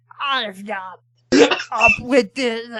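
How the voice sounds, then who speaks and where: A strained, female-sounding put-on character voice at a fairly high pitch. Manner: strained, manic.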